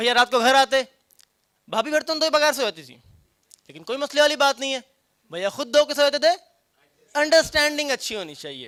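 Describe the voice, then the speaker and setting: Here a man uses a raised, projected voice at an extremely high pitch, his loudness swinging widely. The sound is dry and close with no echo. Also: ordinary pitch variation. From Punjab, Pakistan. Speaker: stand-up comedian. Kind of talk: stand-up comedy performance.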